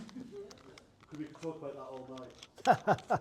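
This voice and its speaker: A man's fairly high voice with lively intonation. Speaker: poet. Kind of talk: hosting a Q&A.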